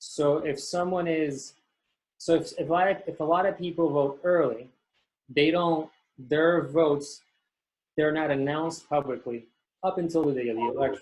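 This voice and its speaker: The man speaks in an American accent with fairly high pitch. His intonation is fairly even, broken by long, frequent pauses. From US, Florida. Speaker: election presenter from US consulate. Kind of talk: presentation with Q&A. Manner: fast.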